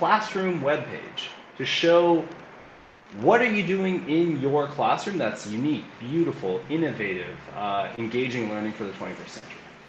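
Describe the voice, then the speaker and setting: A man with a Canadian accent speaks at a moderate pace, his pitch swinging very widely, with noticeable background noise and audible room echo. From Canada, Alberta (Calgary). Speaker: learning and innovation coach. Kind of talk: interview.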